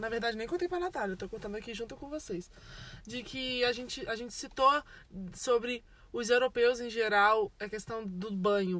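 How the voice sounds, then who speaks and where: In an unremarkable speaking voice, a woman talks at a moderate pace with a fairly high pitch and lively intonation. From Brazil. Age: 20s. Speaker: podcast host. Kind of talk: casual chat. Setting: in a parked car.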